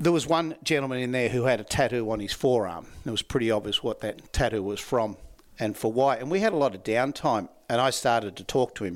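With an Australian accent, a man speaks at a fairly quick pace in a medium pitch. His pitch varies in an ordinary way, and the recording is very clean with a silent background. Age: 60s. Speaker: laughter yoga trainer. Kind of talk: interview conversation.

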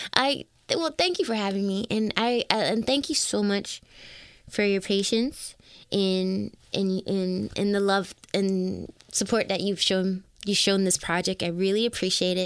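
In a very clean recording with a silent background, a woman with a Toronto accent speaks at a very even loudness. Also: medium pitch for a woman, ordinary pitch variation, fairly slow pace. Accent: Toronto Canadian English. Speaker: singer-songwriter. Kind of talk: interview conversation.

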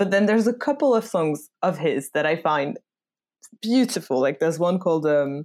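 Recorded very cleanly against a silent background, a woman with a French accent talks at a fairly quick pace in a fairly low pitch with very wide pitch swings. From France. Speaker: podcast host. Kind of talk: casual chat.

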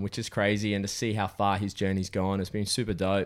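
A fairly low-pitched male voice at a moderate pace on a very clean recording with a silent background. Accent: Australian. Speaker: podcast host. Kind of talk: casual interview chat.

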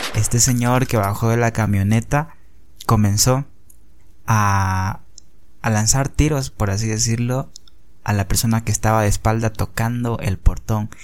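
A man at a medium pitch, fairly even in intonation, fairly slow in pace, with long, frequent pauses. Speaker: podcaster. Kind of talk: personal storytelling.

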